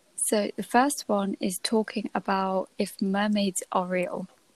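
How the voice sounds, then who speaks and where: A woman speaks softly at a medium pitch. Her pitch varies in an ordinary way, and the sound is dry and close with no echo. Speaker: podcast host. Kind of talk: casual chat. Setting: at home at night. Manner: soft-spoken.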